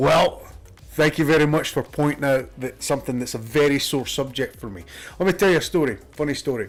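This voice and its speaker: A man talks at a fairly quick pace. His pitch is fairly high, and there is vocal fry. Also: ordinary pitch variation. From Scotland. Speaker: gaming streamer. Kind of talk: casual gameplay commentary.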